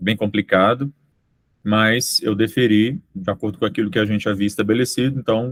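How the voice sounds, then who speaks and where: A man with a plain, everyday voice, fairly low in pitch, with fairly even intonation at a moderate pace. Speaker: university program coordinator chairing committee meeting. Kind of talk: committee meeting.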